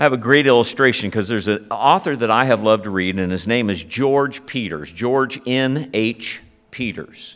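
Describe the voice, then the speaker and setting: In a normal speaking voice, a man with an American accent talks at a moderate pace, his medium pitch showing ordinary variation. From Ohio, US Midwest. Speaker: pastor. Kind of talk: sermon.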